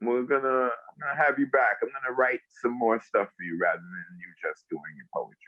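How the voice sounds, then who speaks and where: A man speaks with a Bronx accent. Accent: Bronx accent, drawl. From South Bronx, New York City. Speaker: actor and poet. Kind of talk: interview answer.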